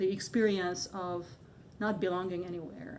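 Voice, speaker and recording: Heard with audible room echo, a woman with a Hungarian accent speaks in a monotone, flat intonation. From Hungary. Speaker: artist. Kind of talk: panel discussion. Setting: gallery with live audience. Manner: halting, many fillers.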